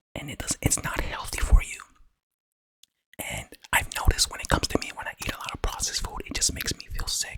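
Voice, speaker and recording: A man whispers at a very fast pace, with long, frequent pauses. His loudness swings widely. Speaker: ASMR eating content creator. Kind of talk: casual talk to camera.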